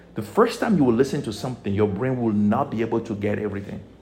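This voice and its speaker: Noticeable background noise runs beneath a man talking in an animated tone. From Togo. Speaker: spiritual teacher. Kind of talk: motivational teaching.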